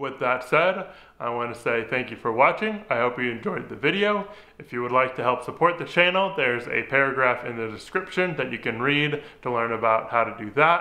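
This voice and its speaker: A man speaks at a fairly quick pace. His intonation is lively. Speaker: DIY restoration vlogger. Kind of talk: casual vlog chat. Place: garage.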